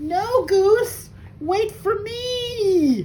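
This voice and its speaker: Over clear background noise, a woman uses a squeaky, put-on character voice pitched extremely high. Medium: read story. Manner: fretful, worried.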